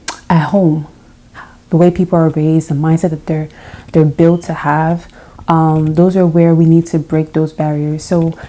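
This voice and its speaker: Soft-spoken, fairly slow delivery in a monotone, flat intonation. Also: woman. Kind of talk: casual talk to camera.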